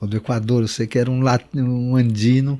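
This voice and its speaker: A man talks in a monotone with flat intonation, his tone dark and mellow at a medium pitch. The recording is very clean, with a silent background. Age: 60s. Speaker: shaman and author. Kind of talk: interview. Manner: halting, many fillers.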